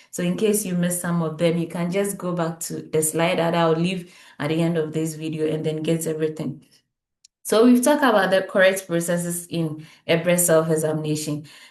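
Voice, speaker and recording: Fairly quick and with fairly even intonation, a woman's fairly low voice comes through with audible room echo. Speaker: health educator. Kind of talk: tutorial.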